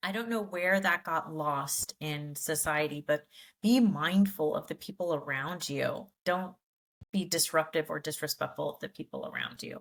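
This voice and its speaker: A woman with an unremarkable speaking voice talks at a moderate pace with lively intonation. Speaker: podcast co-host. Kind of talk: casual chat.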